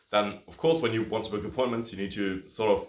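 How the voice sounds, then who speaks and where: A very fast pace with audible room echo. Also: man. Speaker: agency coach and YouTuber. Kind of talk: tutorial. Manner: casual, filler-heavy.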